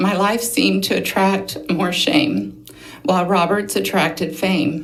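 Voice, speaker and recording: With an American accent and lively intonation, the speaker is heard through audible room echo and noticeable background noise. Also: woman. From Oklahoma, Osage County. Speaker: abuse survivor testifying. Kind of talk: testimony. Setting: legislative committee hearing. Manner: reading prepared notes.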